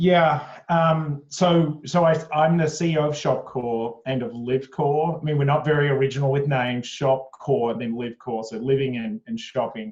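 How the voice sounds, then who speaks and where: The speaker is a man with a fairly high pitch. He keeps a moderate pace and ordinary pitch variation. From Australia (Sydney). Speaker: company executive. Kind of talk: interview. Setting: video call from home attic. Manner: hesitant, many fillers.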